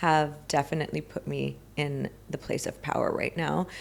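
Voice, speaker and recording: A woman speaks with a Southern California accent. Her pitch is very deep and low. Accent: American Valley girl. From US, Los Angeles. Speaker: spiritual healing coach. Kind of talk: podcast interview.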